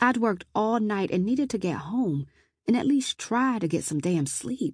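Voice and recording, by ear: A woman's medium-pitched voice with big pitch swings, a slightly husky edge and a slightly mellow tone, on a very clean recording with a silent background.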